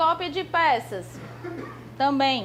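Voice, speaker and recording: Noticeable background noise runs through the clip. Over it, a woman is talking. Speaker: law exam prep teacher. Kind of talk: lecture. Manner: fast.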